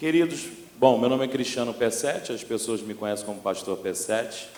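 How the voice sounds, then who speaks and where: A man with a Rio de Janeiro accent, medium-pitched, fairly quick, with ordinary pitch variation, audible room echo and noticeable background noise. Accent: Rio de Janeiro (carioca). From Brazil, Rio de Janeiro (Baixada Fluminense). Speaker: pastor. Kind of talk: sermon. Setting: church. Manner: animated.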